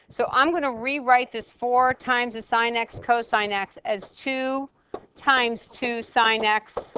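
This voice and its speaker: A plain, everyday voice speaks at a fairly slow pace with fairly even intonation. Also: woman. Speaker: math teacher. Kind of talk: lecture.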